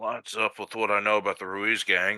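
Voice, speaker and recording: A man does a raspy put-on character voice at a fairly low pitch and a fairly quick pace. The recording is very clean, with a silent background. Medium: actual play. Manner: careful, hedging.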